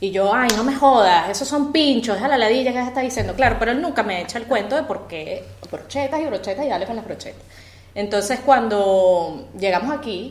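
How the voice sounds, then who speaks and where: Speaking with a Venezuelan accent, a woman keeps a moderate pace and lively intonation. Audible room echo is present. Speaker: podcast co-host. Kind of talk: casual chat. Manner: animated.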